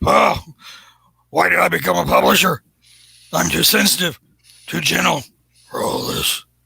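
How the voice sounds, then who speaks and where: Using a raspy, put-on character voice, a man speaks at a moderate pace with long, frequent pauses. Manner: gruff, blustery.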